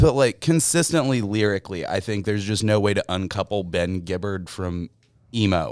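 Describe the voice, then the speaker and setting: An unremarkable speaking voice from a man, fairly low in pitch, with lively intonation at a moderate pace on a very clean recording with a silent background. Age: 20s. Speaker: music fan podcast guest. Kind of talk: casual chat.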